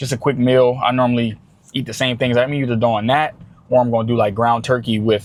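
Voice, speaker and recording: The delivery is fairly quick. Its intonation is monotone and flat. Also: man, medium pitch for a man. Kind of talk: casual vlog talk to camera.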